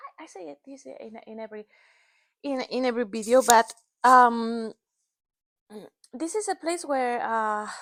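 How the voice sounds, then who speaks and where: Speaking in a Spanish accent, a woman uses a high pitch and lively intonation at a fairly slow pace, with long, frequent pauses. Her loudness swings widely, and the sound is dry and close, with no echo. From northern Spain. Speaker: knitting and crochet designer. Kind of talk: casual vlog chat. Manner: halting.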